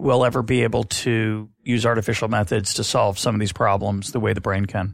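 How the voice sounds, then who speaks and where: A man speaks at a moderate pace with a medium pitch and some vocal fry. The recording is very clean, with a silent background. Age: 50s. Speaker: economics podcast host. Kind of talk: interview.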